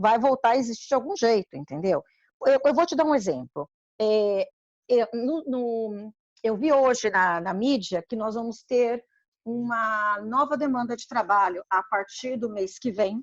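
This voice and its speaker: A woman speaks fairly slowly in a plain, everyday voice, her fairly high pitch carrying lively intonation. The sound is dry and close, with no echo. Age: 60s. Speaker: community council member. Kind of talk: informative panel discussion.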